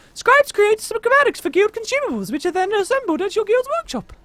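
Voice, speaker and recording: A squeaky, put-on character voice speaks at an extremely high pitch and a very fast pace. The tone is dramatic. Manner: airy, whimsical, dramatic.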